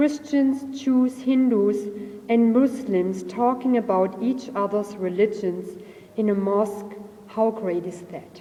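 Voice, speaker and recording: Amid noticeable background noise and audible room echo, a woman speaks very slowly at a fairly high pitch with ordinary pitch variation. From Germany. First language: German. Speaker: audience member giving a comment. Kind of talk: reading a prepared comment. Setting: mosque with audience.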